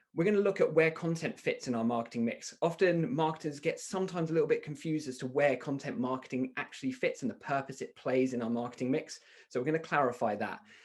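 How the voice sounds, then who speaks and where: This man talks very fast with hardly any pauses. His British accent sits at a fairly high pitch. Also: ordinary pitch variation. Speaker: software company founder, marketing speaker. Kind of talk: webinar presentation. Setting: online webinar.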